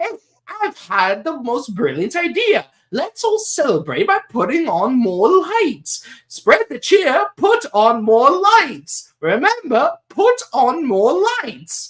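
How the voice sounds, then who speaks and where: A put-on character voice, high and whiny, creeps along at a very slow pace. Its pitch swings very widely. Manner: whiny, cheerfully scheming.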